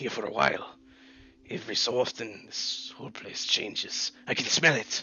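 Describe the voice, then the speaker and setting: Someone uses a raspy, put-on character voice. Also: man, medium pitch for a man, moderate pace. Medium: actual play. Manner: terse, broken grammar.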